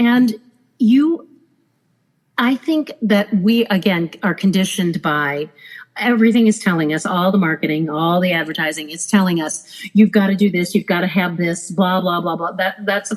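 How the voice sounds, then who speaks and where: Speaking at a moderate pace, a plain, everyday voice carries ordinary pitch variation. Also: woman, medium pitch for a woman. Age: 50s. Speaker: former cruise director. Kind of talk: casual chat.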